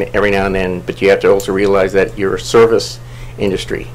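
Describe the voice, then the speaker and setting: A man speaks at a fairly low pitch. There is audible room echo and noticeable background noise. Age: 50s. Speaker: council seat applicant, planning commissioner. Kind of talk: public meeting interview. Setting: city council meeting. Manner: halting, many fillers.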